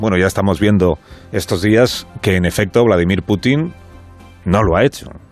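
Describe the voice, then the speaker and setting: A man speaks with a fairly low pitch and lively intonation. There is music in the background. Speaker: radio host. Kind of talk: radio monologue commentary.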